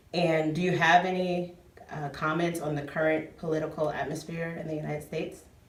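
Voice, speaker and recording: Noticeable background noise sits behind the voice. The delivery is fairly quick, with monotone, flat intonation. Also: woman, very deep, low pitch for a woman. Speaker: interviewer. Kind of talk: casual interview.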